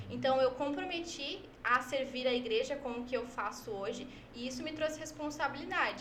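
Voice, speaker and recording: A woman with a high pitch speaks at a moderate pace with ordinary pitch variation, audible room echo and noticeable background noise. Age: 20s. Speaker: church social media worker. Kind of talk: podcast interview.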